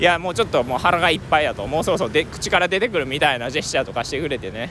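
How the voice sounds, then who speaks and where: A male voice over noticeable background noise. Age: 20s. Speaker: travel podcaster. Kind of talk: casual monologue. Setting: outdoors.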